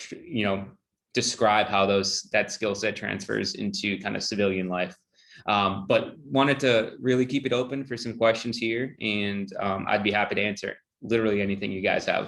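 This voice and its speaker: A man's fairly low voice with vocal fry. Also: ordinary pitch variation, moderate pace. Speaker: HR director. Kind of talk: Q&A on a video call.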